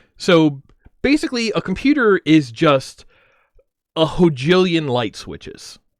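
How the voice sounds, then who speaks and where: An animated tone comes through at a fairly slow pace, with long, frequent pauses, very wide pitch swings and big swings in loudness. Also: man, high pitch for a man. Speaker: streamer. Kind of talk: casual chat. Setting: livestream.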